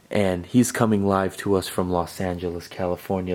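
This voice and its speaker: A man speaks at a moderate pace in a very deep, low voice with a dark, mellow tone. His intonation stays monotone and flat. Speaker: sneaker YouTuber. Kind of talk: casual sneaker review video. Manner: soft-spoken.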